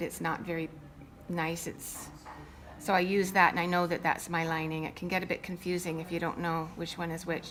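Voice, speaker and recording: A woman speaks with a plain, everyday voice, fairly low in pitch. Her pace is moderate. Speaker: sewing instructor. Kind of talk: tutorial.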